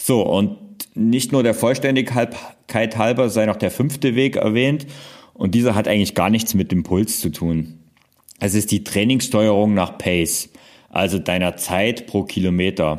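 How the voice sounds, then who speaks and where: In a normal speaking voice, a man talks at a fairly slow pace with a fairly low pitch, ordinary pitch variation and very even loudness. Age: 40s. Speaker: fitness podcaster. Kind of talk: solo podcast explainer.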